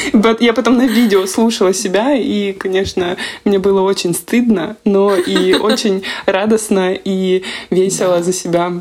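This woman uses an ordinary speaking voice at medium pitch, talking at a fairly slow pace with fairly even intonation and very even loudness. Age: 20s. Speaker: podcast host, psychologist. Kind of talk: casual chat. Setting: video call.

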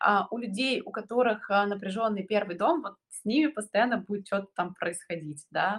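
A woman talks at a moderate speed, her pitch showing ordinary variation. Hers is an unremarkable speaking voice, pitched in the medium range. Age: 30s. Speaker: astrologer. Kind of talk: casual chat.

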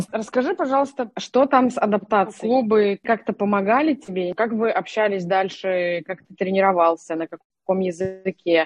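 A woman talks at a moderate pace with hardly any pauses, her pitch medium and its variation ordinary. Her loudness swings widely, and music plays in the background. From Russia, Nalchik (Kabardino-Balkaria). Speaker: podcast co-host, digital manager. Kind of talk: interview.

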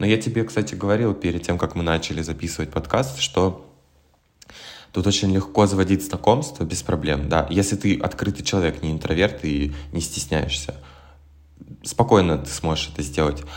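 A man speaks at a moderate pace in a very deep, low voice with ordinary pitch variation. He leaves long, frequent pauses. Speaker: musician and graduate student. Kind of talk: casual chat. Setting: remote call.

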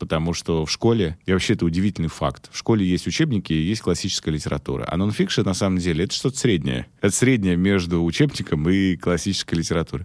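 On a very clean recording with a silent background, a man with a very deep, low pitch talks at a very fast pace, hardly pausing, his intonation lively. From Russia, Omsk. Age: 30s. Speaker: marketing consultant and author. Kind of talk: casual chat.

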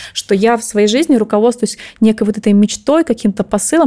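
A woman's fairly high voice, dark and mellow in tone, at a fairly quick pace. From Russia, Chita, Zabaikalsky Krai. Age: 30s. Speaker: finance director. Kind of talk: interview.

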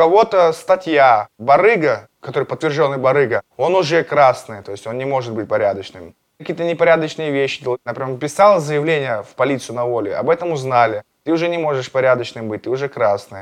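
This man has an unremarkable speaking voice, fairly high in pitch, moving at a fairly quick pace with lively intonation. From Russia, Astrakhan region. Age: 30s. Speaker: former prisoner, MMA fighter and blogger. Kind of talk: interview, personal story.

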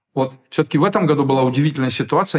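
Very clean recording with a silent background of a somewhat breathy man at medium pitch. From Ukraine, Kyiv. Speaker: theatre director and drama teacher. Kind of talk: interview. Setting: studio.

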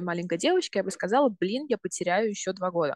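A woman's unremarkable speaking voice at a medium pitch and fairly quick pace, dry and close with no echo. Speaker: university student. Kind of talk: interview.

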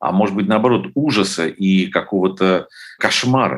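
Very deep and low, a man's voice moves at a fairly slow pace with ordinary pitch variation. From Ukraine, Lviv. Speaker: documentary filmmaker. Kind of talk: interview.

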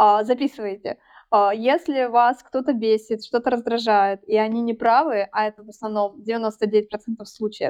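A woman has an unremarkable speaking voice with a fairly high pitch. She talks at a fairly slow pace with fairly even intonation. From Russia, Tyumen. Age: 30s. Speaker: podcast guest. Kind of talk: casual chat.

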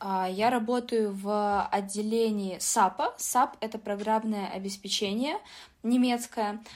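Fairly high in pitch, a woman speaks at a very slow pace with fairly even intonation on a very clean recording with a silent background. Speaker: business informatics student and IT employee. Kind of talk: interview.

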